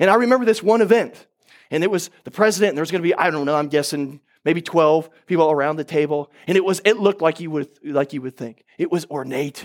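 A man's very fast, fairly high-pitched speech in an American accent, on a very clean recording with a silent background. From Oklahoma. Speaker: pastor. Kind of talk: sermon. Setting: church.

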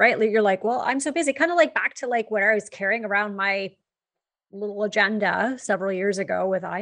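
Against a quiet background, a woman with a Canadian accent talks at a fairly quick pace in a plain, everyday voice. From Canada. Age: 40s. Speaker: podcast co-host, business coach. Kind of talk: casual chat.

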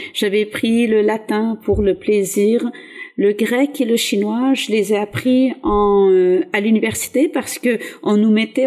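A woman's fairly high voice with a dark, mellow tone, very slow, very even in loudness, with ordinary pitch variation. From southeastern France (Var), born in Algeria. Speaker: teacher. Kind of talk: interview.

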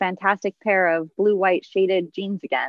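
A woman talks in a normal speaking voice. Her pace is moderate, her intonation fairly even. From Southern California. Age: 30s. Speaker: podcast guest, mother. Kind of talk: casual chat.

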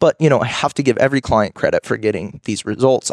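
In a plain, everyday voice, a man speaks at a fairly quick pace and medium pitch, the sound dry and close with no echo. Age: 20s. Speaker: fitness coach and podcast host. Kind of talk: casual solo Q and A podcast.

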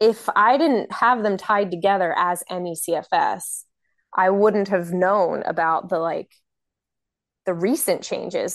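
A woman speaks at a fairly slow pace with a medium pitch and ordinary pitch variation. It is a normal speaking voice, over a quiet background. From Maryland, US. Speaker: chronic illness patient advocate. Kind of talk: casual chat. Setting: video call.

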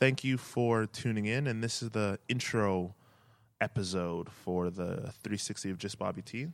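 In a Canadian accent, a man with an unremarkable speaking voice talks at a moderate pace and fairly low pitch on a very clean recording with a silent background. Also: ordinary pitch variation. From Edmonton, Canada. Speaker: podcast host and marketing entrepreneur. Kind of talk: solo podcast introduction.

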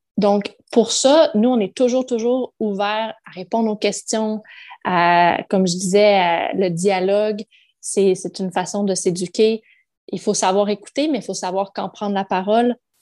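Against a quiet background, a woman with a medium pitch and a dark, mellow tone talks at a fairly slow pace with ordinary pitch variation, the sound dry and close with no echo. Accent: Quebec. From Quebec. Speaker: mother, podcast guest. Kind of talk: casual interview.

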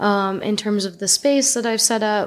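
A woman speaks with a Northeastern US accent at a fairly high pitch. The recording is very clean, with a silent background. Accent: American (Northeast). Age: 30s. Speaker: artist. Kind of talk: casual chat.

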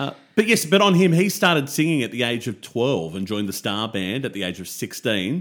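On a very clean recording with a silent background, a man with an Australian accent talks at a fairly quick pace. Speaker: music podcast co-host. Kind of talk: casual chat.

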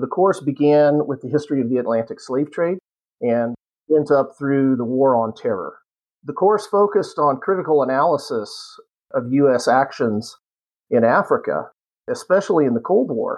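This man speaks with a US Midwestern accent and a fairly high pitch. His pace is moderate and his intonation lively. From Kansas, US. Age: 50s. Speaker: history professor and retired Marine pilot. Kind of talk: casual interview.

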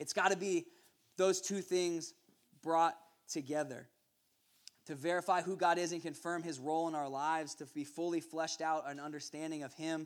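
With long, frequent pauses, a man speaks at a moderate pace in a fairly high pitch and monotone, flat intonation. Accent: American. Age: 20s. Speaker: youth pastor. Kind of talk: sermon. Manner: halting.

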